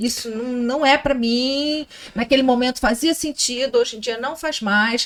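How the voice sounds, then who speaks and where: A woman's high-pitched voice, fairly slow in pace, with ordinary pitch variation. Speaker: podcast host. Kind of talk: casual chat.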